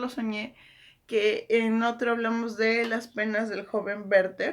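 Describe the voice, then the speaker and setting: A woman is speaking. She goes at a very slow pace. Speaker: book YouTuber. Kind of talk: casual literary commentary. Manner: hesitant, many fillers.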